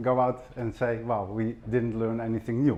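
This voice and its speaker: A man's medium-pitched voice in a Dutch accent, at a fairly quick pace. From Netherlands. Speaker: fire safety professor, former fire officer. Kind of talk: conference presentation. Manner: halting, with fillers and repetitions.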